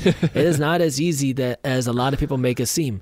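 Speaking at a fairly quick pace, a man uses a normal speaking voice, fairly high in pitch with ordinary pitch variation. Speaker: entrepreneur and YouTuber. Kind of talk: casual interview.

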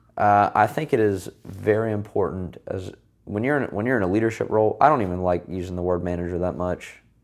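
On a very clean recording with a silent background, a man talks fairly quickly in an ordinary speaking voice, his fairly low pitch showing ordinary pitch variation. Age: 20s. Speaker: young manager, military college graduate. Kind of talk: casual interview chat.

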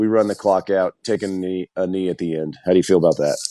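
Recorded dry and close with no echo, a man with an American accent speaks in a dark, mellow tone. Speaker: former football player, radio host. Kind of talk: casual chat.

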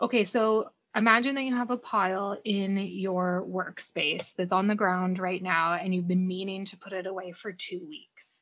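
A woman with a Canadian accent speaks at a moderate pace with hardly any pauses. She has an ordinary speaking voice, a medium pitch and fairly even intonation. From Canada. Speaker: decluttering coach. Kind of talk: casual interview chat.

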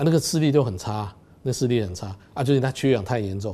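Here a man talks at a fairly quick pace with a medium pitch and a dark, mellow tone. His pitch variation is ordinary, and the recording is very clean with a silent background. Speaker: ophthalmologist. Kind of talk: interview.

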